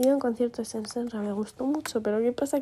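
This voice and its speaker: A woman with a high pitch and dark, mellow tone, fairly even intonation, at a moderate pace. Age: young. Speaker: podcaster. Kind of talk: casual monologue. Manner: rambling, hesitant.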